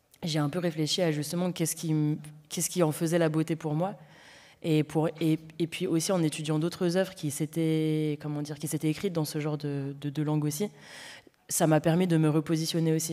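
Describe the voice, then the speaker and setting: The recording is very clean, with a silent background. A woman with a very deep, low pitch talks at a fairly quick pace in a flat monotone. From Paris banlieue, Seine-Saint-Denis (93). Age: young. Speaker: novelist. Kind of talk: festival panel discussion. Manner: halting, many fillers.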